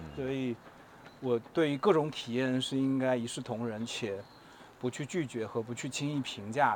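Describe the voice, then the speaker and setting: This man is soft-spoken, with a gentle tone. His pitch sits in the medium range. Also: ordinary pitch variation, moderate pace. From Taiwan. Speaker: advertising creative. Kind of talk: casual chat. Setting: outdoors, walking through the city. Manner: gentle, soft-spoken.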